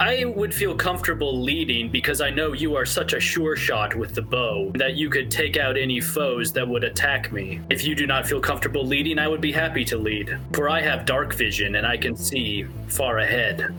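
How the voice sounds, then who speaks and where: A man's put-on character voice at a moderate pace, over loud music in the background. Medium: actual play. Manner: formal, courteous, calm.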